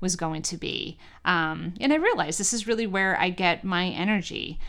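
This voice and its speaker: A woman with an American accent speaks at a medium pitch and moderate pace in a plain, everyday voice. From New York. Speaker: college president and podcast host. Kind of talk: scripted monologue; casual interview.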